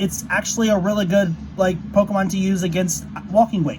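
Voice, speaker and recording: A man talks at a fairly quick pace in a high voice for a man, with noticeable background noise behind him. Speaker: gaming YouTuber. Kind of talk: tutorial. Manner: fast; halting, many fillers.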